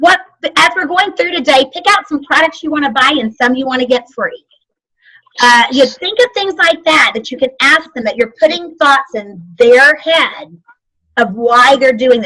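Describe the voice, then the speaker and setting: A woman with a high pitch and a bright, sharp tone speaks in a raised, projected voice with lively intonation. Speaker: sales trainer. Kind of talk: training class. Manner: fast.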